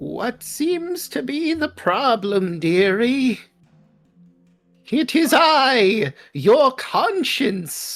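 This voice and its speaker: A put-on character voice sits at a fairly high pitch with very wide pitch swings and a very slow pace. Faint music plays in the background. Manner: sweetly teasing.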